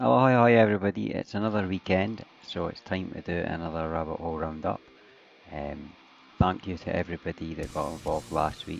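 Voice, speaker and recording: Over music in the background, a man with a strong Scottish accent speaks fairly quickly in a very deep, low voice with lively intonation. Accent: thick Scottish. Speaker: music video countdown host. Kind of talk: casual video commentary. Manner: hesitant, many fillers.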